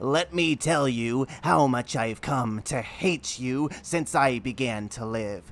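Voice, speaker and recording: This man talks at a fairly slow pace and a medium pitch. He is using a put-on character voice. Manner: hateful, menacing.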